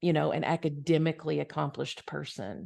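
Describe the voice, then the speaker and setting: Over a quiet background, a woman with a Southern US accent speaks at a very deep, low pitch with vocal fry. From US South. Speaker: spiritual podcast co-host. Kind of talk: casual conversation.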